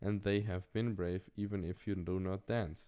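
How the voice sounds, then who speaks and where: Dark, mellow tone against a quiet background. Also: man. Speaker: reader of philosophy texts. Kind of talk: reading aloud. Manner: halting.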